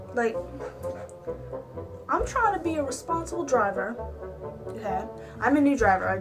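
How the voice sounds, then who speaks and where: A woman at a fairly slow pace over clear background music. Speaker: vlogger. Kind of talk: casual vlog chat. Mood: annoyed, ranting. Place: home room. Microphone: webcam.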